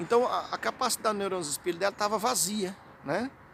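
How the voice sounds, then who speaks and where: Talking at a fairly quick pace, a man with a Brazilian accent speaks in a high pitch. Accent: Brazilian Portuguese accent, kept. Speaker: hypnotherapy and self-help vlogger. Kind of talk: informal educational vlog talk. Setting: outdoors in a city square. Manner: conversational, many fillers and repetitions.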